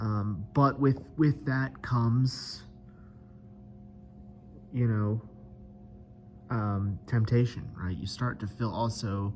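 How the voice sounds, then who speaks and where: Over music in the background, a man with a fairly low pitch talks at a very slow pace with lively intonation. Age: 30s. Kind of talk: casual video diary to camera. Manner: hesitant, many filler words.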